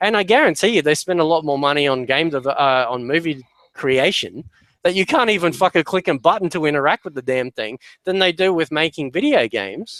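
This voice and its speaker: The speaker moves at a fairly quick pace with an Australian accent. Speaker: podcast panelist. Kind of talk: casual chat. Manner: halting.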